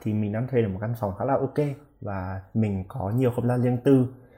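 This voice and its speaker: On a very clean recording with a silent background, a man speaks at a medium pitch with ordinary pitch variation in a dark, mellow, somewhat breathy tone. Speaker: international student. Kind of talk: casual interview.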